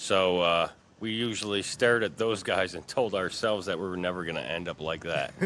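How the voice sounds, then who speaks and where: A man with an American accent speaks in an ordinary speaking voice at a moderate pace with ordinary pitch variation, on a very clean recording with a silent background. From Troy, New York. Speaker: community member interviewed on street. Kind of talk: street interview.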